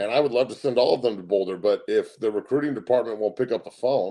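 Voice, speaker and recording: A man with an American accent at a very fast pace. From Colorado. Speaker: sports talk show host, former football player, coach. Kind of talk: sports talk monologue. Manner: loud; animated, ranting.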